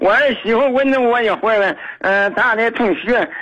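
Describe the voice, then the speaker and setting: At a moderate pace, a man uses a raised, projected voice with lively intonation. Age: 60s. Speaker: retired caller to a radio advice show. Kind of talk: phone-in advice call. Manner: halting, many fillers.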